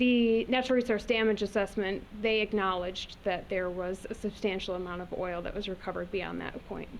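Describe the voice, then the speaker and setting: With an American accent, a woman at medium pitch talks at a fairly quick pace, her intonation fairly even and hardly any pauses. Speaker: environmental advocate. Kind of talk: presentation. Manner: loud; fast.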